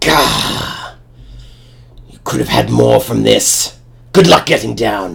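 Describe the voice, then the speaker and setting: Long, frequent pauses break up a raspy, put-on character voice. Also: man, very deep, low pitch for a man, fairly slow pace. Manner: menacing, annoyed.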